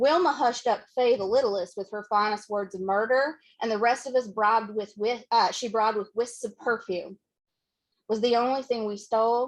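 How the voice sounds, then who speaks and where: At a moderate pace, a woman talks with a Southern accent. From western Kentucky. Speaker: poet. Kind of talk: poetry reading. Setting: bookshop reading, hybrid with Zoom.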